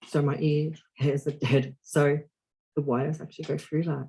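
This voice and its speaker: A somewhat breathy man with an Australian accent, fairly high pitch and a dark, mellow tone, in monotone, flat intonation at a fairly slow pace. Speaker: deaf actor. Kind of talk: podcast interview.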